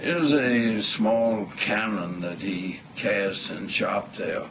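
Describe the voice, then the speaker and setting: Someone with a Southern US accent speaks with ordinary pitch variation over noticeable background noise and audible room echo. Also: man. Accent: Southern American. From US South. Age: 80s+. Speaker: retired architect and war veteran. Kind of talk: reminiscence interview. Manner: halting.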